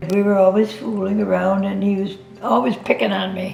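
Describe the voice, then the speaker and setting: Music plays behind a woman whose pace is moderate. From upstate New York. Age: 80s+. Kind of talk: life story interview answer. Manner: cheerful.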